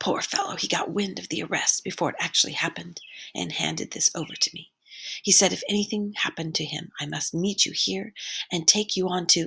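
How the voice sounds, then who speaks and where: In a put-on character voice, a woman whispers at a fairly quick pace, her tone hoarse and guttural. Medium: read story. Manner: hushed, secretive.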